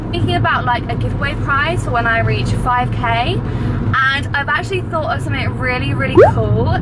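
Loud background noise around a woman's speech. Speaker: vlogger. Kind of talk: casual vlog chat. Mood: cheerful, chatty. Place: car. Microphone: phone near.

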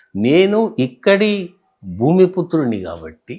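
With a Telangana accent, a man speaks at a fairly high pitch in a dark, mellow tone with very wide pitch swings. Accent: Telangana Telugu (Hyderabadi). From Hyderabad Old City, Telangana, India. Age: 70s. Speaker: author and retired tax officer. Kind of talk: interview.

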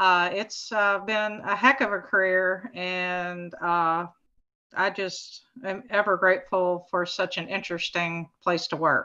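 A woman talks at a fairly slow pace. Her intonation is fairly even, with a quiet background. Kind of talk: presentation talk. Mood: a little nervous. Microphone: video call.

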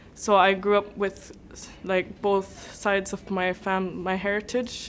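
Speaking at a fairly slow pace in a monotone, flat intonation, a woman is heard over light background noise. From Nunavut, Canadian Arctic (Igloolik); Nunavut, Canada. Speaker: writer. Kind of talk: interview talk. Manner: hesitant, many fillers. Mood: calm, proud. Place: classroom.

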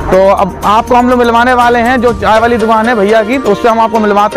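A man with a high-pitched voice talks at a fairly quick pace with ordinary pitch variation, the sound dry with no echo and clear music in the background. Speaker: vlogger. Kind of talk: casual vlog chat. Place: street. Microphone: phone near.

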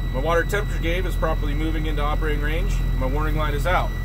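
A man at a very fast pace over loud background noise. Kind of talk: tutorial. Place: car. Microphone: phone near.

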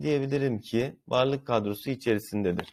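Using a plain, everyday voice, a man speaks at medium pitch with lively intonation. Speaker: Turkish language teacher. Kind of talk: tutorial.

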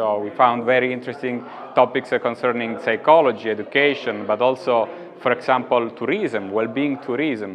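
With an Italian accent, a man talks at a moderate pace with ordinary pitch variation over light background noise. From Italy. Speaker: psychologist; conference presenter. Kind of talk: interview. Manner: halting. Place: hall. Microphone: lapel.

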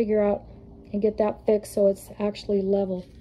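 A woman speaks with a dark, mellow tone. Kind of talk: casual vlog walkthrough. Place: garage. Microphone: phone near.

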